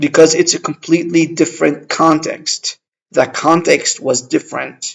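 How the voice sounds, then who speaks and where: A man talks at a moderate pace with an Arabic accent. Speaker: language-learning vlogger. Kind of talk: casual vlog monologue. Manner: halting, many fillers.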